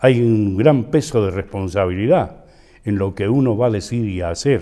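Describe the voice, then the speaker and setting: Over a quiet background, a man talks at a fairly slow pace with a fairly low pitch and a dark, mellow tone. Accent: Cuyo Argentine. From San Juan, Argentina. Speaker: actor, radio host, announcer. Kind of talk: interview answer.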